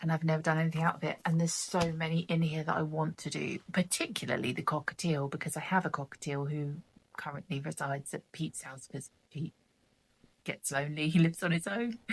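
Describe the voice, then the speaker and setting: Quiet and somewhat breathy, a woman with a southern English accent speaks very fast at a very deep, low pitch with fairly even intonation. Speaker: craft vlogger. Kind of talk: casual chat.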